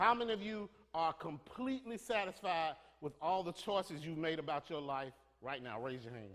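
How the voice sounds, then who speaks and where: Speaking at a moderate pace, a man uses a fairly high pitch with very wide pitch swings. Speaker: preacher. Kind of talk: sermon delivered to a congregation.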